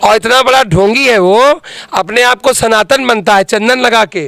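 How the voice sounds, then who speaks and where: Over noticeable background noise, a man with a high pitch and ordinary pitch variation speaks at a fairly slow pace, the sound dry and close with no echo. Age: 30s. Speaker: politician, parliamentary candidate. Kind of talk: interview. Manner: animated.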